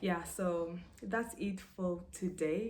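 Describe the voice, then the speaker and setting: A woman's fairly low voice with a South Sudanese accent, in audible room echo. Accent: South Sudanese accent from mother tongue. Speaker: vlogger. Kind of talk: casual monologue to camera.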